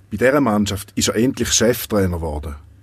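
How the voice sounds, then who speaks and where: A man's unremarkable speaking voice, fairly low in pitch, with lively intonation. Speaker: podcast host and narrator. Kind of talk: scripted narration.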